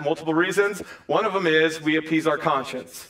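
A man's voice with ordinary pitch variation. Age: 40s. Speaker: pastor. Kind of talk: sermon; church stage interview. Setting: church. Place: church.

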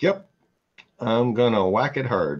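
A man talks slowly at a medium pitch with a slightly husky edge. His pitch swings are big.

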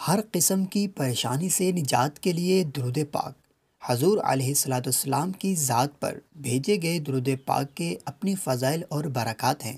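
Somewhat breathy and fairly high-pitched, a man talks with lively intonation. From Pakistan. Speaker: voice over artist. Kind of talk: religious narration.

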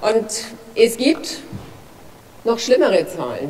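Speaking at a very slow pace with a strong Franconian accent, a woman uses a fairly high pitch over light background noise. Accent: broad Franconian German. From Franconia, Germany. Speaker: politician, federal drug commissioner. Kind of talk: parliamentary speech. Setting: parliament chamber. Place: hall. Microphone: podium.

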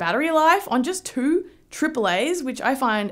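A woman's voice swings very widely in pitch. The background is quiet. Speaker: tech reviewer. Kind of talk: casual review vlog. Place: home room. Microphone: phone near.

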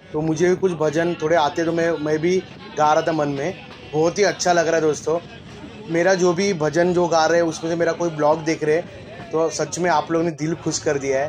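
With music in the background, a man talks at a moderate pace in a flat, monotone way. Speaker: train vlogger. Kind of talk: casual vlog commentary. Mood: cheerful, pleased. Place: train. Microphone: phone near.

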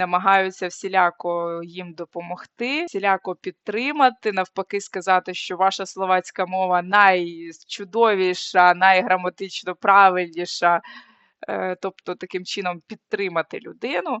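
She speaks in an unremarkable speaking voice at medium pitch. Her intonation is fairly even and her pace fairly slow. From Ukraine. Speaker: social anthropologist and video blogger. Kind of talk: vlog talk to camera.

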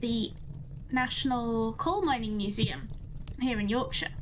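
A woman goes at a fairly slow pace, and light background noise can be heard. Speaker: livestreamer. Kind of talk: casual stream chat.

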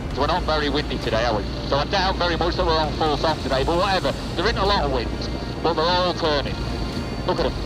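Music plays behind a man speaking very fast with ordinary pitch variation. The sound is dry, with no echo. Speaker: TV presenter. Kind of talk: documentary presenter commentary. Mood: amused, impressed. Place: plane. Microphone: headset.

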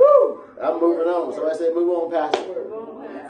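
A man speaks at a fairly slow pace in an animated tone with ordinary pitch variation. Audible room echo and light background noise surround him. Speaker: pastor. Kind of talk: sermon. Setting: church. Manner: animated, call-and-response preaching, asking the congregation to answer; emphatic and repetitive, pressing points home. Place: church.

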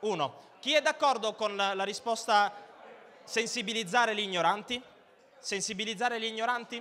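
A man with a high pitch speaks in a raised, projected voice at a moderate pace, his animated, bright and sharp tone carrying ordinary pitch variation, with long, frequent pauses over light background noise. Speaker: stand-up comedian. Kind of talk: stand-up comedy, crowd-work banter and irreverent jokes. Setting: stage with audience. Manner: animated, cheeky, provocative, teasing the audience. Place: stage. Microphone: handheld.

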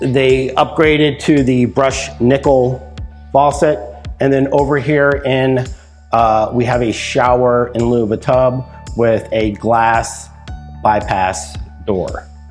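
A man at a very slow pace, with faint music in the background. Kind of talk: property tour commentary. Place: empty room.

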